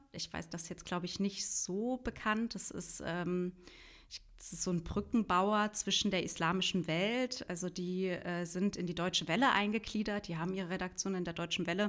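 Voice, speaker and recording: A woman speaks at a moderate pace and medium pitch with fairly even intonation, on a very clean recording with a silent background. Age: 30s. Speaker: journalist and podcaster. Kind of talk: interview. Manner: halting, many fillers.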